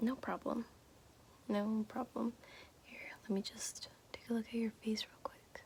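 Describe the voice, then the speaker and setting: Soft-spoken and gentle in tone, a woman with a fairly high pitch talks at a fairly slow pace in a monotone, flat intonation, taking long, frequent pauses amid big swings in loudness. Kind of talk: ASMR makeup roleplay, soft-spoken tutorial to the listener. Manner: soft-spoken, gentle, slow.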